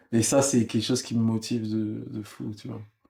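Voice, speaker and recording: In a very clean recording with a silent background, a man talks in a monotone, flat intonation. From France, Congolese family. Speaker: musician. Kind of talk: interview.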